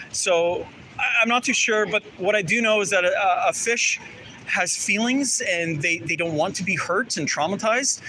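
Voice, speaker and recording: Over noticeable background noise, a man speaks in a raised, projected voice at a high pitch. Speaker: street activist. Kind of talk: casual chat. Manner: loud.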